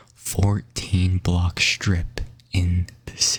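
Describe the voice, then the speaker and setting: A soft-spoken man talks at a very slow pace with very deep, low pitch. His voice is somewhat breathy. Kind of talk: ASMR sleep fact narration.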